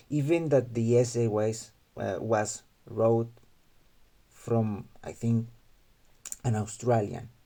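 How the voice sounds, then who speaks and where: Very slow, with long, frequent pauses, a man speaks in a Mexican accent with a dark, mellow tone, a medium pitch and fairly even intonation. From Mexico. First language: Spanish. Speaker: gaming youtuber. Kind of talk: video commentary monologue. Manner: halting, with fillers and restarts.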